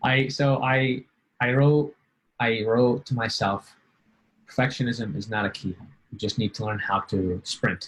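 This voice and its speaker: A man talks at a fairly slow pace and medium pitch, somewhat breathy. Long, frequent pauses break up his speech. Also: ordinary pitch variation. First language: not English. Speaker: LSAT student being coached. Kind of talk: coaching session. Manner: halting, many fillers.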